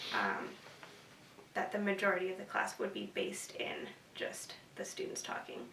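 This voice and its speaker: A woman with an American accent at a moderate pace, long, frequent pauses, noticeable background noise, and audible room echo. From US West Coast, San Francisco Bay Area. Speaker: university student. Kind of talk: interview. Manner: hesitant, many fillers.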